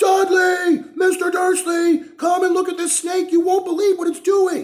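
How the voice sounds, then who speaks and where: A man shouting in a put-on character voice, extremely high-pitched, monotone and flat, at a moderate pace. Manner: loud shouting.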